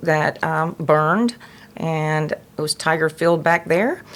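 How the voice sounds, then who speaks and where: A woman with a Southern US accent and a fairly low pitch. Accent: Southern US (Georgia). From US South, Georgia. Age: 60s. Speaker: nonprofit president. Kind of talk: interview. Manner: halting, many fillers.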